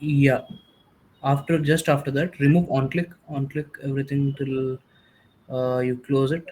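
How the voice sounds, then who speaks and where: A man with a fairly high pitch speaks in a monotone, flat intonation. His voice is somewhat breathy, with long, frequent pauses. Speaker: workshop instructor. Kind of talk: tutorial. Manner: fast.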